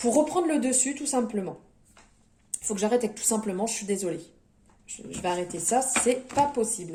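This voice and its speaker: Her pitch fairly high, a woman speaks with lively intonation, big swings in loudness and long, frequent pauses. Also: fairly quick pace. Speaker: tarot card reader. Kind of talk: tarot reading video. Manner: hesitant, many fillers.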